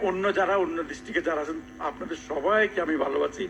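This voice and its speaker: Noticeable background noise surrounds a man speaking at a high pitch. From Chittagong, Bangladesh. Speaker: professor. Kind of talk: interview answer.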